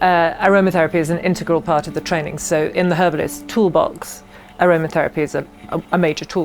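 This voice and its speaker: A woman with an English accent at a fairly low pitch and a very fast pace, with music in the background. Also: fairly even intonation. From England. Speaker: herbalist and aromatherapy teacher. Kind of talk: interview.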